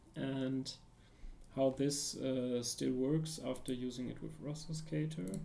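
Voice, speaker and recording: A dark, mellow tone with ordinary pitch variation at a fairly slow pace, with audible room echo. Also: man. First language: not English. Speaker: security researcher streaming a tutorial. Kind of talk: live-stream tutorial. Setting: live stream with chat. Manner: halting, many fillers and restarts.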